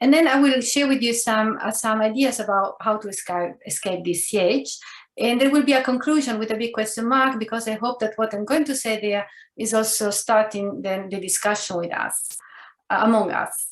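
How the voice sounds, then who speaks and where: A woman speaks with an Italian accent at a fairly high pitch. Her voice carries audible room echo. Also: ordinary pitch variation, moderate pace. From Italy. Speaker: professor. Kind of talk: lecture.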